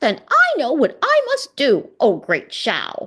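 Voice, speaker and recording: The voice is a put-on character voice, high-pitched and squeaky. It moves at a fairly slow pace. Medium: read story. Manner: chirpy, sly.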